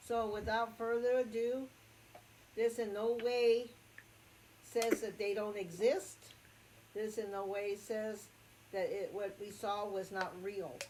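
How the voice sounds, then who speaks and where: A woman speaks at a very slow pace with long, frequent pauses, her fairly high voice keeping a fairly even intonation over noticeable background noise. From Acoma Pueblo, New Mexico. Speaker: storyteller recounting personal encounter. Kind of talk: personal story telling. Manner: hesitant, many fillers.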